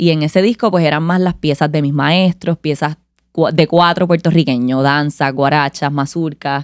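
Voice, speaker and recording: Very deep and low for a woman, her voice moves at a moderate pace with fairly even intonation in a dry, close, echo-free sound on a very clean recording with a silent background. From Puerto Rico, Caguas. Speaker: musician, cuatro player. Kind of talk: interview conversation.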